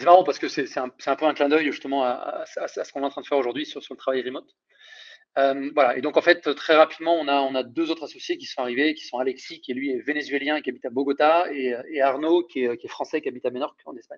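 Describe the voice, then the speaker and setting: Against a quiet background, a man talks at a very fast pace with big swings in loudness. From France, Isère (between Lyon and Grenoble). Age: 30s. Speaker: recruitment startup founder. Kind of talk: casual interview. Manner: hesitant, many repetitions and fillers.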